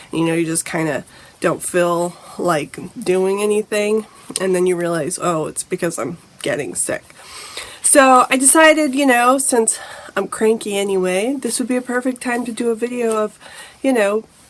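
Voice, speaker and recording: Amid noticeable background noise, a woman with a fairly high pitch speaks at a moderate pace with lively intonation. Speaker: lifestyle vlogger. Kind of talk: casual vlog talk.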